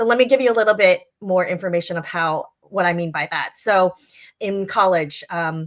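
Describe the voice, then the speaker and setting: Delivered at a moderate pace in a Chinese accent, the speech has ordinary pitch variation. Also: woman, medium pitch for a woman. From US Northeast, Long Island. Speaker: leadership coach and founder. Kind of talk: interview.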